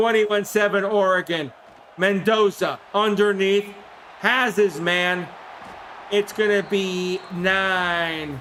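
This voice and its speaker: Speaking very slowly at a high pitch, a man with a New York accent keeps his loudness very even. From New York City (Queens). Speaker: gaming streamer. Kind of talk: live commentary. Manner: animated.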